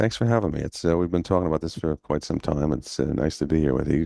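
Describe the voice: A hoarse, put-on character voice races along at a very fast pace. The sound is dry and close, with no echo. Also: man, very deep, low pitch for a man.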